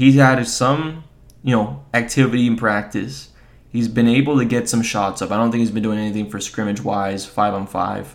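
A man at a moderate pace, with audible room echo. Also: medium pitch for a man, ordinary pitch variation. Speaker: solo sports podcast host. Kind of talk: casual sports commentary. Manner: casual, filler-heavy.

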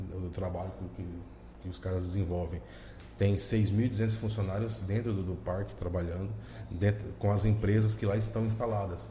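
Amid noticeable background noise and audible room echo, a man with a fairly low pitch and fairly even intonation speaks at a moderate pace, leaving long, frequent pauses. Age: 30s. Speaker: municipal economic development official. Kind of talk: podcast interview.

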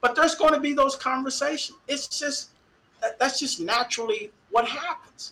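A man's raised, projected voice at an extremely high pitch, animated, in an American accent, with noticeable background noise. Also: ordinary pitch variation, moderate pace. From Dallas, Texas. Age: 50s. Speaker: university equity director and former football official. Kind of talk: interview.

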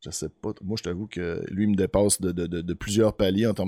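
A man at a moderate pace with a Quebec accent, dry, close sound with no echo in a very clean recording with a silent background. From Beauce, Quebec. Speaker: podcast host. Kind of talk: interview.

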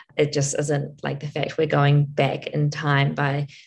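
Her intonation is monotone and flat, with vocal fry. The woman's pitch is very deep and low. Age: 30s. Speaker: podcast co-host and runner. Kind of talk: casual chat.

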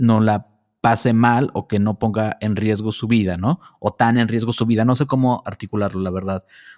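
In a very clean recording with a silent background and a dry, close sound with no echo, a man with a plain, everyday voice speaks at a moderate pace, fairly low in pitch, with fairly even intonation. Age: 40s. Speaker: podcast host. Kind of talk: interview.

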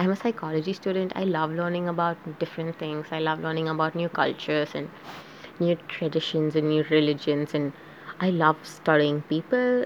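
Behind a woman's fairly quick speech there is noticeable background noise. Her voice is very deep and low, with fairly even intonation. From South Asia. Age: young. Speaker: podcaster. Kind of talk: casual monologue. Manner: halting.

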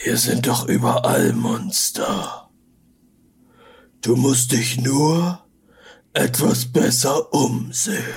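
A man's raspy, put-on character voice at medium pitch, very slow, with long, frequent pauses. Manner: calm, cryptic, advising.

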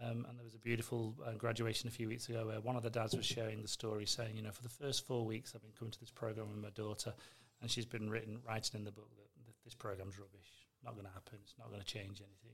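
Very fast, monotone speech from a man at medium pitch, somewhat breathy, with big swings in loudness. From northwest England. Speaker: foundation executive director. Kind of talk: casual interview chat.

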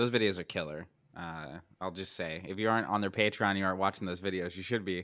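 Speaking very fast with an American accent, a man with a very deep, low voice and a bright, sharp tone keeps his intonation fairly even in a very clean recording with a silent background. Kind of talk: casual podcast chat.

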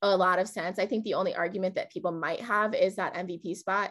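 Over a quiet background, a woman talks at a moderate pace in an ordinary speaking voice. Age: 20s. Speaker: podcast host. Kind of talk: casual chat.

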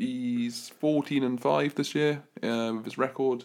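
This is a man with a British accent. He speaks at medium pitch. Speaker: podcast co-host. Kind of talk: casual chat.

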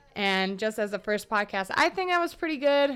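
With an American accent, a woman with an unremarkable speaking voice talks at a fairly quick pace and a fairly high pitch. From US South, Atlanta then Austin, Texas. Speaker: chef and podcaster. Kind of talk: casual solo podcast monologue. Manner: casual, with frequent laughs and fillers.

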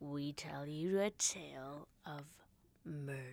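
This is a put-on character voice in a low-to-middle pitch. The pace is fairly slow. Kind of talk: movie trailer voice. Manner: dramatic, ominous.

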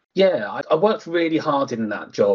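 A man speaks with an Essex accent. His pace is moderate. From England, Harlow in Essex. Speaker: housing association executive. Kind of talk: interview. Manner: halting, many fillers.

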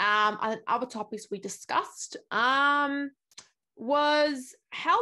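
A woman speaks in an Australian accent with lively intonation. The background is quiet. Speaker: YouTuber and journalist. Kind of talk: interview; casual vlog intro.

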